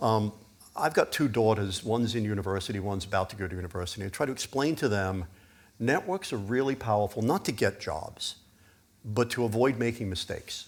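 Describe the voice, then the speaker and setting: Recorded very cleanly against a silent background, a man uses a normal speaking voice at a medium pitch. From US Northeast (Pennsylvania), born in UK. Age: 60s. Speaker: biotech executive. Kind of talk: fireside chat at conference.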